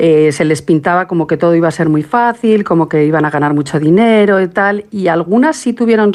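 A woman talks at a fairly quick pace with lively intonation. Noticeable background noise runs behind her. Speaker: documentary maker and researcher. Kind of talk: interview.

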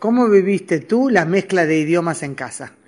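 Woman's fairly low, slightly mellow voice with lively intonation at a moderate pace.

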